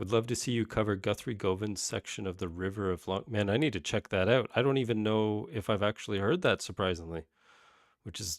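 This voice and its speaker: A man with a Canadian accent talks at a fairly quick pace in an ordinary speaking voice, fairly low in pitch with ordinary pitch variation. The recording is very clean with a silent background. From Canada. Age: 30s. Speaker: guitar teacher and YouTuber. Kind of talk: livestream Q&A. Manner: casual, many fillers and restarts. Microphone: new microphone.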